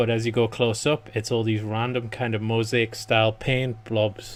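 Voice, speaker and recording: Mumbling at a moderate pace, a man speaks at medium pitch with monotone, flat intonation. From northeast England. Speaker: gaming YouTuber. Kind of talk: let's play commentary.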